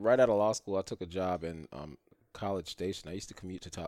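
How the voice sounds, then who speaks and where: At a very fast pace, a man with an American accent speaks in a very deep, low pitch with ordinary pitch variation and a dry, close sound with no echo. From New York. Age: 30s. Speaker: rideshare driver. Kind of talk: casual chat. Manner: halting.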